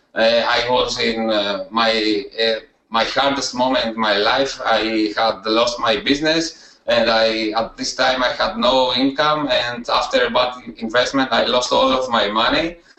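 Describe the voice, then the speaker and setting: A man with a Greek accent at medium pitch, fairly slow and with hardly any pauses, his intonation fairly even and loudness very even. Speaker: student success story, email marketer. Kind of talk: interview testimony. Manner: halting, many hesitations.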